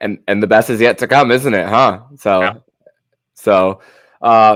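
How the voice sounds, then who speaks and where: Speaking in a normal speaking voice, a man keeps a fairly low pitch, a fairly slow pace and fairly even intonation. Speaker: podcast host. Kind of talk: podcast host interview questions.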